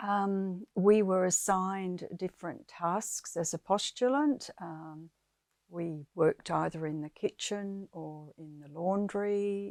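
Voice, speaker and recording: A woman with an Australian accent speaks at a medium pitch and a very slow pace, with ordinary pitch variation and big swings in loudness, on a very clean, silent-background recording with a dry, close sound and no echo. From South Australia. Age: 80s+. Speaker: former nun and teacher. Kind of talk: personal life story interview. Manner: hesitant, many fillers.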